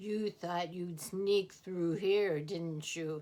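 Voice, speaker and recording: Someone uses a gruff, put-on character voice. The delivery comes at a very slow pace. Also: female-sounding voice, medium pitch for a woman. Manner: mean, gruff.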